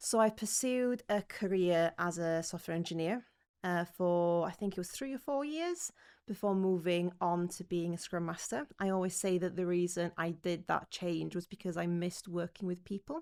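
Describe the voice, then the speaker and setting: Speaking in a North Welsh accent, a woman with a fairly low pitch talks at a moderate pace with ordinary pitch variation, on a very clean recording with a silent background. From North Wales. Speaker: learning and development manager, former scrum master. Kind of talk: podcast interview.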